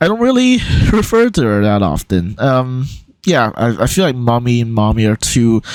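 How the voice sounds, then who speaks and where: Lively intonation marks a man's medium-pitched voice, delivered at a moderate pace with very even loudness. Noticeable background noise is present. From Hong Kong. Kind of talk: casual talk to camera. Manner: hesitant, many filler words.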